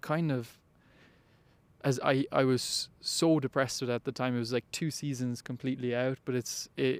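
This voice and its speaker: A man with a Cork accent speaks in a monotone, flat intonation. The sound is dry and close with no echo, on a very clean recording with a silent background. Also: medium pitch for a man, moderate pace. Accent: Cork Irish. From Ireland, west Cork. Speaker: college athlete. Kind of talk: interview. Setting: indoor arena. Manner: halting.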